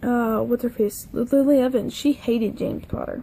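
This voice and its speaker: A mumbling woman's voice, high-pitched, with a dark, mellow tone and fairly even intonation. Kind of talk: casual talk to camera. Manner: rambling, casual.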